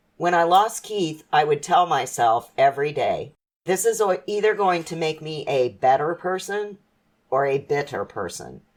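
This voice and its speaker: Using a plain, everyday voice, a woman with a fairly low pitch talks at a moderate pace with lively intonation. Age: 50s. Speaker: mother sharing life lessons. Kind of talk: casual chat. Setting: podcast interview.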